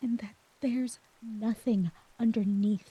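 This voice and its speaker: This woman has a dark, mellow tone and fairly high pitch, speaking at a fairly slow pace with fairly even intonation in a dry, close sound with no echo. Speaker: audio roleplay voice actor. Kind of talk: emotional audio roleplay monologue. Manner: vulnerable, emotional; soft-spoken.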